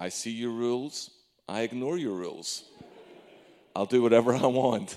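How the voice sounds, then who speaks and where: At a moderate pace, a man talks with a warm tone and a medium pitch. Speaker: preacher. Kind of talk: sermon. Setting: church. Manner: warm, conversational, humorous.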